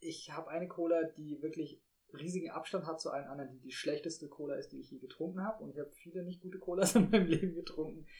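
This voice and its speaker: A man speaks at a very fast pace in a high pitch, his tone dark and mellow, his intonation fairly even and his loudness swinging widely. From Rhineland-Palatinate, Germany. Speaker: podcast co-host. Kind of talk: casual chat.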